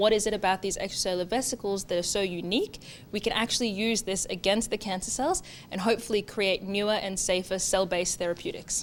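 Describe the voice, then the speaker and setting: Speaking at a very fast pace, a woman holds a medium pitch and fairly even intonation. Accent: Australian. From Australia, Townsville, regional North Queensland. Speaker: PhD researcher. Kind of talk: interview monologue, researcher profile.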